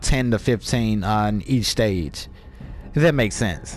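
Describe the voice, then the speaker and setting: The man sounds animated. His intonation is lively. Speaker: gaming youtuber. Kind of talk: gameplay commentary. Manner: casual, animated.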